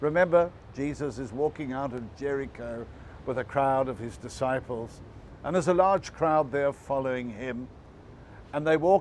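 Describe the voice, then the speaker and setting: A man talks in an ordinary speaking voice, fairly high in pitch, keeping a moderate pace and ordinary pitch variation. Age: 60s. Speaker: pastor. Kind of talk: devotional talk. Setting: online video.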